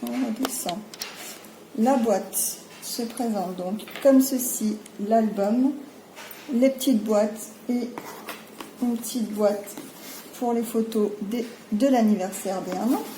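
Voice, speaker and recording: With audible room echo and noticeable background noise, a woman speaks very slowly at a fairly high pitch with fairly even intonation and long, frequent pauses. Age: 30s. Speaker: crafting youtuber. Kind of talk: product presentation. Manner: hesitant, many fillers.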